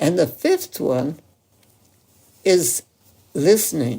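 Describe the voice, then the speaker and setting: A woman speaks very slowly in a fairly low, dark, mellow voice with vocal fry and very wide swings in pitch. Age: 80s+. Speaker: medical doctor. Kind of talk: interview answer.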